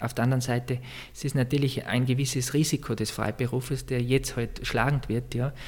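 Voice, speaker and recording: A man's somewhat breathy voice at a very fast pace, flat and monotone throughout. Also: medium pitch for a man. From Austria, East Tyrol. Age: 30s. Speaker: church music director. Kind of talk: interview. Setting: office in a monastery.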